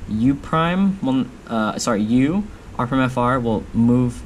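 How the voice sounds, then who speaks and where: A man speaks with lively intonation over light background noise. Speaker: speedcubing youtuber. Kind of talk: tutorial. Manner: fast; halting. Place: home room.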